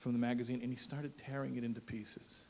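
A man talks at a medium pitch with an American accent. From United States. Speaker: rabbi and columnist. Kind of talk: speech. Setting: stage with audience. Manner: animated.

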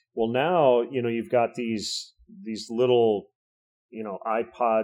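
A normal speaking voice with an American accent at a moderate pace, on a very clean recording with a silent background. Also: man. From Michigan. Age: 50s. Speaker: baseball radio play-by-play announcer. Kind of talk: casual chat.

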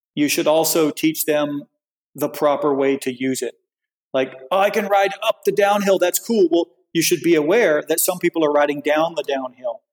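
With an American accent and an unremarkable speaking voice, a man talks at a moderate pace and fairly high pitch with ordinary pitch variation, the sound dry and close with no echo. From US South. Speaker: bike industry executive. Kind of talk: casual interview.

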